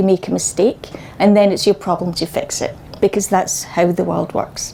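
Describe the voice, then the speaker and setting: A woman speaks with a slight Scottish accent against noticeable background noise. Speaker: data and BI consultant. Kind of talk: conference talk. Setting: meetup stage with audience, using microphone.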